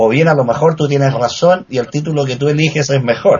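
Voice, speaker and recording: The man's voice is somewhat breathy and fairly high, with ordinary pitch variation. He talks at a fairly quick pace. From Chile. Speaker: writer. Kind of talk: casual chat.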